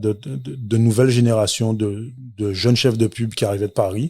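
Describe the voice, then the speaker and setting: This voice is somewhat breathy. The man speaking has a medium pitch. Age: 40s. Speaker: entrepreneur, restaurant owner. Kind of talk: interview. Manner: hesitant, many fillers.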